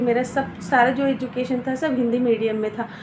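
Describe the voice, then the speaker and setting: Noticeable background noise runs under this recording. A woman speaks at a high pitch and a moderate pace. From Uttar Pradesh, India. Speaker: fashion designer giving career advice. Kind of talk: casual advice talk to camera. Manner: conversational with frequent hesitations.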